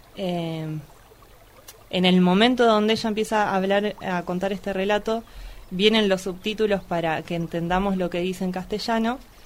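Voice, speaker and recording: There is noticeable background noise behind this woman. Her intonation stays fairly even. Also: medium pitch for a woman, moderate pace. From Argentina, Luján (Buenos Aires province). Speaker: photographer and activist. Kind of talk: casual film discussion.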